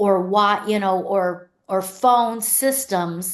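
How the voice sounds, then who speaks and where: This woman has a Pennsylvania accent and a medium pitch. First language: Pennsylvania Dutch. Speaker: luxury real estate agent. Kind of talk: podcast interview answer.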